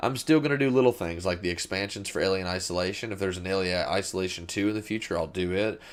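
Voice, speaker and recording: A man talks in a Southern US accent. His pace is very fast. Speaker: gaming YouTuber. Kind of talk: casual vlog monologue. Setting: small home studio. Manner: fast-paced; rambling, hesitant.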